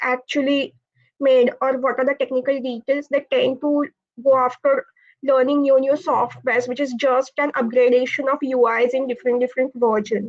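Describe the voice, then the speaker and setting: A woman with a Marathi accent speaks at a high pitch and a moderate pace. Her intonation is monotone and flat, with a quiet background. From India, Pune. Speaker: automotive engineer, college alumna. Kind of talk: panel Q&A answer.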